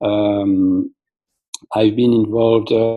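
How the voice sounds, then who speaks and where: A man with a French accent talks at a medium pitch. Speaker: molecular biologist, app company founder. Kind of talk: presentation. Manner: halting, many fillers.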